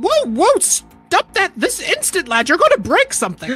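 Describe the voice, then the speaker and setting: Faint music plays behind a put-on character voice pitched extremely high and delivered at a moderate pace. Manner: crabby, scolding.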